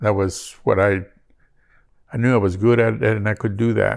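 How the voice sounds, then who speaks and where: The recording is very clean with a silent background. The speaker has a Spanish accent. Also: man. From northern Mexico, Parral, Chihuahua. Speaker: immigrant interviewee. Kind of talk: interview. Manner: halting, many fillers.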